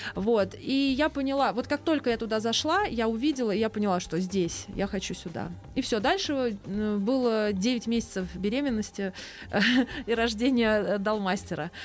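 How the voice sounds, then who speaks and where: A woman speaks at a fairly high pitch and a moderate pace. Her pitch varies in an ordinary way, with noticeable background noise behind her. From Moscow. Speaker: chef and cafe owner. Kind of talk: casual chat.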